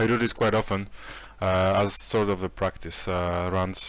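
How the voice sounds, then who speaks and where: In a very clean recording with a silent background, a man speaks at a moderate pace in a very deep, low pitch with monotone, flat intonation. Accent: Polish. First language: Polish. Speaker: 3D artist and tutorial maker. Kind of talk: tutorial. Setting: home, late evening. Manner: hesitant, many fillers.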